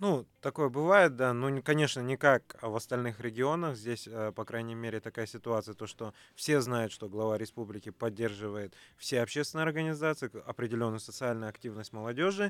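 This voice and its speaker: A man with an unremarkable speaking voice talks at a medium pitch with ordinary pitch variation, in a dry, close sound with no echo. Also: moderate pace, very clean recording, silent background. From Kazakhstan. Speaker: youth movement leader, government adviser. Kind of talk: radio talk show discussion. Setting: radio studio.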